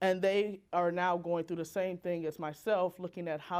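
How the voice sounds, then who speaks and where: At a moderate pace, a woman with an unremarkable speaking voice and fairly low pitch is heard in a very clean recording with a silent background. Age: 30s. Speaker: designer and social impact speaker. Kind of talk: talk to an audience.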